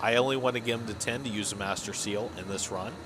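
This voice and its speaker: Over noticeable background noise and audible room echo, a man with an American accent talks very fast with fairly even intonation. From US Midwest, Illinois. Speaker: gaming streamer. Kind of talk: gameplay commentary. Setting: live stream. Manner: monotonous; casual with fillers.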